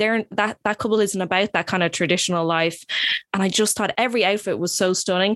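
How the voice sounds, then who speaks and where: Recorded dry and close with no echo against a silent background, a woman talks very fast at a medium pitch with fairly even intonation. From Dublin, Ireland. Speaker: podcast host. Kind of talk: casual chat. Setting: studio.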